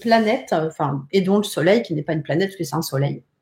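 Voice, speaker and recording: With lively intonation, a woman talks in a somewhat breathy voice. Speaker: psychic and tarot teacher. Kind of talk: live-streamed tutorial. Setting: live stream from home.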